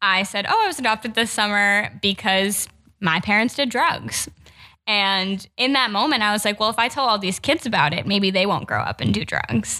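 A woman with an unremarkable speaking voice, medium in pitch, in an American accent at a moderate pace. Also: ordinary pitch variation. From New Jersey. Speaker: policy researcher, former foster youth. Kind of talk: personal testimony in podcast interview.

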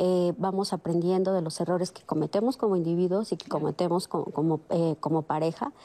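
A woman's normal speaking voice, fairly low in pitch, at a fairly quick pace with hardly any pauses, ordinary pitch variation and big swings in loudness. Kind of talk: panel discussion.

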